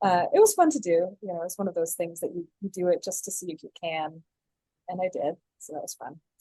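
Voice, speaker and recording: In an American accent, the voice is dark, mellow and somewhat breathy, with fairly even intonation and big swings in loudness, recorded dry and close with no echo. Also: woman, medium pitch for a woman. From North Carolina, US (moved from California as a child). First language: Flemish. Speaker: theatre director. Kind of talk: casual interview.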